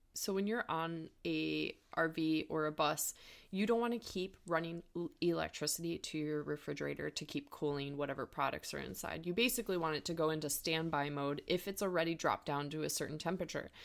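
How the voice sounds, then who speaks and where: With an American accent, a woman speaks at a fairly quick pace with hardly any pauses, a very deep, low pitch and ordinary pitch variation, on a very clean recording with a silent background. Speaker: podcast co-host. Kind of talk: casual podcast chat.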